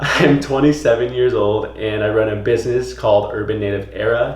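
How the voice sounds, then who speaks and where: An upbeat man's voice at a moderate pace, with audible room echo and noticeable background noise. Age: 20s. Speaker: vlogger and clothing brand owner. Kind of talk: casual vlog. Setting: at home. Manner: whispering; casual, upbeat.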